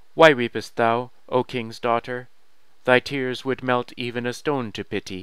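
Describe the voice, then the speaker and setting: A croaky, put-on character voice from a man, medium in pitch, at a moderate pace. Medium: read story. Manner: archaic thee-and-thou speech.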